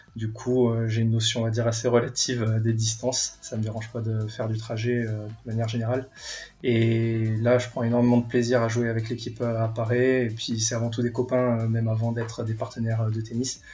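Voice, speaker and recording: With music in the background, a man talks fairly quickly at a medium pitch in a monotone, flat intonation. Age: 20s. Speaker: airline pilot and tennis club member. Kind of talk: casual interview. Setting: recorded at home. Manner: hesitant, many filler sounds.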